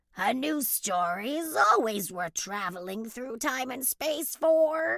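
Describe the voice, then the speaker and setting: A woman uses a put-on character voice, high-pitched and raspy, with very wide pitch swings. She goes at a fairly slow pace. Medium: read story.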